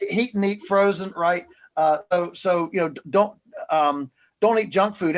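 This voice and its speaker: A man's voice with ordinary pitch variation. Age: 60s. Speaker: farmer. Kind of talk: interview. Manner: halting, many fillers and repeats.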